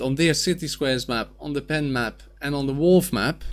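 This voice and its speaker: A man with a Dutch accent speaks at a fairly high pitch with ordinary pitch variation. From Netherlands. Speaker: gaming youtuber and streamer. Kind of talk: gameplay commentary. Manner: casual with filler words.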